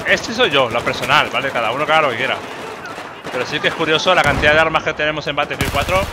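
Speaking very fast with a Spanish accent, a man with a fairly high voice uses ordinary pitch variation over noticeable background noise. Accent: Peninsular Spanish. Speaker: gaming YouTuber. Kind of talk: live gameplay commentary. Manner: animated.

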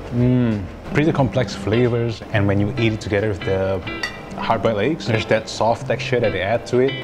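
Clear music plays behind a man's voice. He speaks at a moderate pace with ordinary pitch variation. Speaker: food vlogger. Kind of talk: casual food review. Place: cafe. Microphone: lapel.

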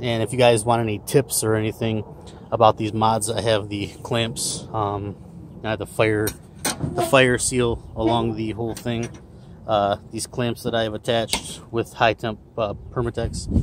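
A man speaks at a fairly slow pace in a monotone, flat intonation, with a dry sound with no echo and noticeable background noise. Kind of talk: casual tutorial. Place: garden. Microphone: phone near.

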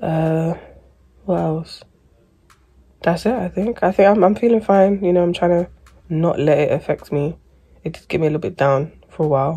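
At a moderate pace, a woman talks with a dark, mellow tone and fairly low pitch, ordinary pitch variation and long, frequent pauses against a quiet background. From England. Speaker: vlogger with endometriosis. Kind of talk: casual vlog chat. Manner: rambling, chatty. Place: home room. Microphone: phone near.

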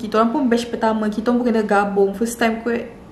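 Over light background noise and audible room echo, a woman talks at a very fast pace in a fairly high voice. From Malaysia. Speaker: YouTuber sharing student experience. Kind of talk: casual vlog talk. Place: home room. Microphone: phone near.

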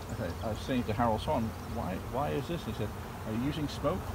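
Amid loud background noise, a man talks at a very fast pace in a dry sound with no echo. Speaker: beekeeping instructor. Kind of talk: tutorial. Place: open country. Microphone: phone near.

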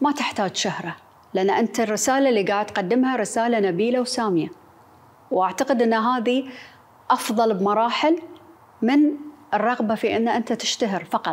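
A woman with a Bahraini accent speaks in a fairly high pitch at a very even loudness. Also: ordinary pitch variation, moderate pace. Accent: Bahraini Gulf Arabic. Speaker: TV presenter; interviewee. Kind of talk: interview. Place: office.

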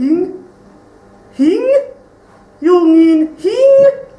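An extremely high-pitched, cartoonish character voice with slight echo. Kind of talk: live stage ventriloquist show. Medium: puppet.

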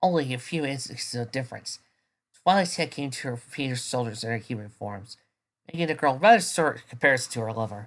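The voice is plain reading aloud against a quiet background.

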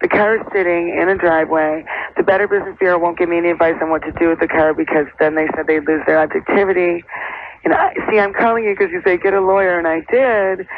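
With an American accent, the speaker goes at a very fast pace while noticeable background noise carries on. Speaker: actor. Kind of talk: phone-in call. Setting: phone call. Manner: animated.

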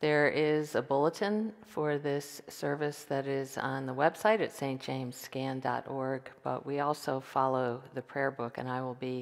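A woman's very deep, low voice at a fairly slow pace, with ordinary pitch variation and a quiet background. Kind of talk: liturgical welcome and explanation. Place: church. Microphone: headset.

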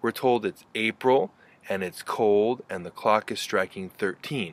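A man's voice, recorded dry with no echo. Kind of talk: lecture. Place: garden. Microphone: phone near.

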